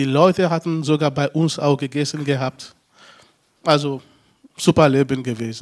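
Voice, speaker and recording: A man's fairly high voice at a moderate pace, fairly even in intonation, with long, frequent pauses and a dry, close sound with no echo. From Togo. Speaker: former refugee, social worker. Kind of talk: interview. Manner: halting.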